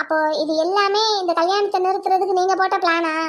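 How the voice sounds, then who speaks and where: An extremely high-pitched, cartoonish character voice speaks at a moderate pace. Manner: needling, sarcastic.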